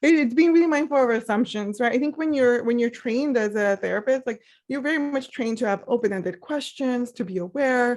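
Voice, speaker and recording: Talking at a fairly quick pace with hardly any pauses, a woman with a Spanish accent uses a high pitch and ordinary pitch variation on a very clean recording with a silent background. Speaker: therapist. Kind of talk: interview about mental health.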